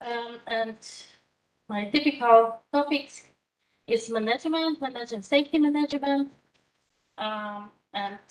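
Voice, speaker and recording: A woman speaks at a fairly high pitch with lively intonation. Her pace is moderate, with long, frequent pauses. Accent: Polish. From Poland. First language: Polish. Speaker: university lecturer in management. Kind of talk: lecture. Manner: halting, many fillers.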